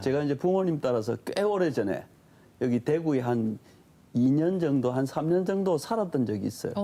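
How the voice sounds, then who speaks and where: A man with a Gyeongsang accent speaks at a moderate pace in a dark, mellow tone. His pitch sits fairly high for a man, with lively intonation and very even loudness. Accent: Gyeongsang regional dialect. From southeastern Korea.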